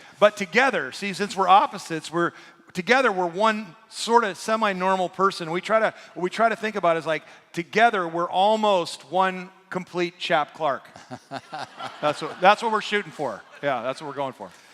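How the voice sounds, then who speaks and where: Over noticeable background noise, a man talks at a moderate pace and a high pitch, with ordinary pitch variation. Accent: American. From US, eastern Washington rural. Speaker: pastor. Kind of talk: sermon.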